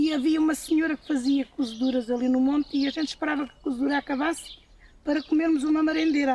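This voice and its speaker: Against noticeable background noise, a woman talks very fast in a high pitch with fairly even intonation. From Portugal, Alentejo (Évora). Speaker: farm worker. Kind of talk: testimony.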